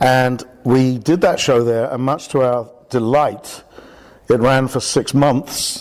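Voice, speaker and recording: A man at medium pitch with a British accent. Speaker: theatre director. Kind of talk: radio interview. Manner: halting.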